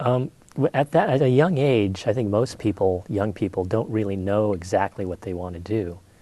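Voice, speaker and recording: A man with a Californian accent speaks at a moderate pace. His pitch is fairly low. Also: ordinary pitch variation. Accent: Californian American. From California, Monterey. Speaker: painter. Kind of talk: interview.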